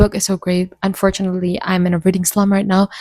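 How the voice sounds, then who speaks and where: A woman with an Indonesian accent, medium in pitch, in a dry, close sound with no echo. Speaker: booktuber. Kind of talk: casual chat.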